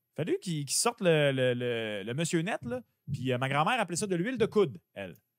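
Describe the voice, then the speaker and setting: With a Quebec accent, a man speaks at a fairly quick pace in an animated tone, his pitch swinging very widely. The sound is dry with no echo, over a quiet background. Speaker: sports betting podcast co-host. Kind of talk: casual chat. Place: home room. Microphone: studio mic.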